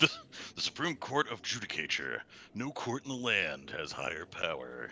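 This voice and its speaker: Using a put-on character voice, a man speaks at a moderate pace against clear background noise. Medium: game stream. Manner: calm, assured.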